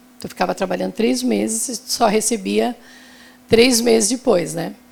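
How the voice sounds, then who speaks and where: A woman speaks at a moderate pace. Background noise is noticeable behind her. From southern Brazil, Santa Catarina (Araranguá). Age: 60s. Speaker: retail businesswoman. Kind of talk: panel talk.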